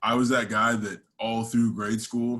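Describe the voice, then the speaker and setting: The pace of this man's speech is moderate. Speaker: strength coach speaker. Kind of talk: talk to an audience.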